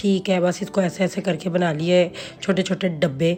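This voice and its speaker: A woman speaks at a fairly slow pace in a fairly low pitch, her intonation monotone and flat, with music playing in the background. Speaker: lifestyle vlogger. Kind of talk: cooking vlog. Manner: casual chatty.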